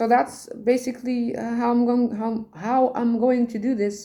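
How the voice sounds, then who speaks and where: A woman with a Dutch accent has a fairly high pitch and a dark, mellow tone. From Netherlands, Rotterdam. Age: 40s. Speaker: tarot reader and poet. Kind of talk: casual monologue, podcast. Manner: halting.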